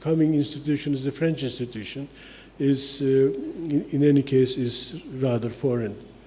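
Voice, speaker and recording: Audible room echo surrounds a man speaking at a moderate pace. His pitch is fairly high and his intonation fairly even. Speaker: architect and lecturer. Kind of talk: lecture. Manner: halting, many fillers.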